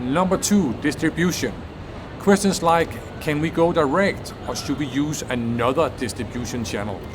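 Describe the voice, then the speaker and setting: Lively intonation from a male speaker, noticeable background noise behind him. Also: moderate pace. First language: not English. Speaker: business innovation video creator. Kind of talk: educational explainer.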